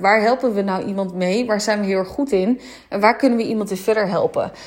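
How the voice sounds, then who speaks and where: With ordinary pitch variation, a woman talks at a fairly quick pace against noticeable background noise. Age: 20s. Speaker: spiritual business mentor. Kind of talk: solo podcast monologue. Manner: hesitant, many filler words.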